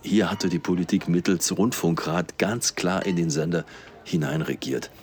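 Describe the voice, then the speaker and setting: This man has a very deep, low pitch with ordinary pitch variation. He talks at a moderate pace. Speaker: podcast host. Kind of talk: interview. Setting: café in a train station.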